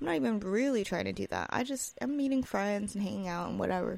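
Very fast speech with lively intonation and an American accent. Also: woman. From US West Coast. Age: 20s. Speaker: podcaster. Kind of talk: casual solo podcast monologue. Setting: home recording, apartment. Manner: rambling, filler-heavy, casual.

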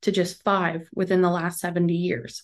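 A woman with an American accent speaks at a fairly quick pace and a medium pitch over a quiet background. She has a plain, everyday voice. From northeastern Pennsylvania. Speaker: podcast host. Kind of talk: scripted narration.

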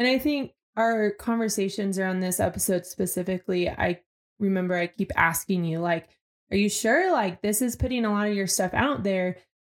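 A woman with an American accent speaks at a moderate pace in a plain, everyday voice. Her medium pitch carries fairly even intonation. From Arizona, US. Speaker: podcast co-host, former church teacher. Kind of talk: casual spiritual conversation.

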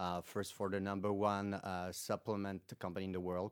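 In a French accent, a man speaks fairly quickly at a very deep, low pitch on a very clean recording with a silent background. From France. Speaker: startup founder and CEO. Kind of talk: business pitch. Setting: studio. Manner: hesitant, many fillers.

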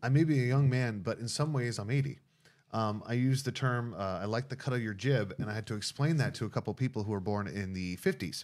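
A man speaks in a normal speaking voice with ordinary pitch variation. The recording is very clean, with a silent background. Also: medium pitch for a man, fairly quick pace. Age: young. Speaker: pastor. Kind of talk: casual interview. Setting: studio with two mics.

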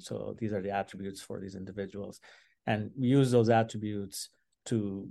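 Against a quiet background, a man with a fairly low voice and a dark, mellow tone speaks at a moderate pace. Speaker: data scientist. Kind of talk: interview.

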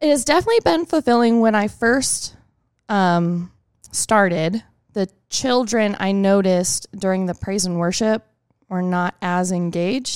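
With an American accent and a plain, everyday voice, a woman speaks fairly slowly at a medium pitch with ordinary pitch variation, in a dry, close sound with no echo. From Texas. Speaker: children's ministry volunteer. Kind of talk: casual interview.

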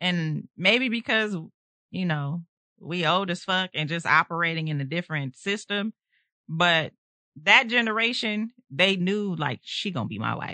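A woman's fairly low voice with a bright, sharp tone, lively intonation and an animated delivery at a fairly slow pace, dry and close with no echo over a quiet background. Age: 40s. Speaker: podcast host. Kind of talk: casual chat.

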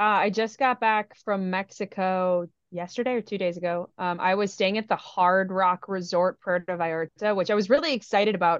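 A woman with an Upper Midwest accent talks with fairly even intonation. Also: medium pitch for a woman, moderate pace. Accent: Upper Midwest American. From US Midwest. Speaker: podcast co-host. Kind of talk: casual chat.

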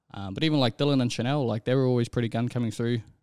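Speaking at a very fast pace, a man with an Auckland accent keeps a medium pitch and fairly even intonation. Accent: New Zealand (Auckland). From New Zealand, South Auckland (Manurewa). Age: young. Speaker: rugby league referee. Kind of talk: casual interview.

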